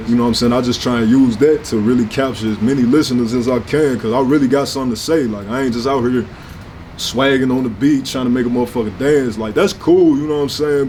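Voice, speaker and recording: A man talks at a very fast pace in a medium-pitched voice. Noticeable background noise and audible room echo surround him. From US Midwest, St. Louis north side. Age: 20s. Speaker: rapper. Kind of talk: interview. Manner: casual, animated.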